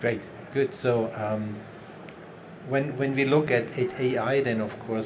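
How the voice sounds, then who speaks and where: A man with a non-native accent speaks at a moderate pace, with ordinary pitch variation. Room echo is audible, and there is noticeable background noise. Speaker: round table moderator. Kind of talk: panel discussion.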